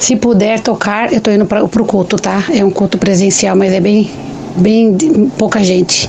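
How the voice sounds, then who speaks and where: Over noticeable background noise, the speaker keeps a moderate pace, very even loudness and fairly even intonation. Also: woman, medium pitch for a woman. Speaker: listener calling in. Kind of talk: voice message to radio show; casual testimony. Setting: recorded voice message.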